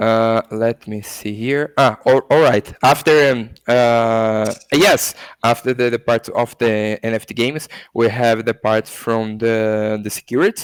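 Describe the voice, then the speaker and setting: A man with a Portuguese accent at a medium pitch, fairly slow pace and fairly even intonation, in a very clean, dry, close recording with no echo and a silent background. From Brazil. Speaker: crypto education academy founder. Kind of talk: interview. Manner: halting, many fillers and self-corrections.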